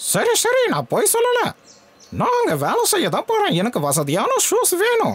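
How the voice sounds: Using a cartoonish character voice, a man talks at a fairly slow pace with extremely high pitch.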